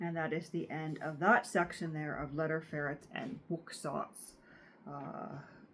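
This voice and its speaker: A woman with a Canadian accent speaks at a fairly slow pace. Her pitch is very deep and low, with ordinary pitch variation. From Canada. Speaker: book reader, channel host. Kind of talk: reading aloud; casual commentary. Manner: halting, many filler uhs.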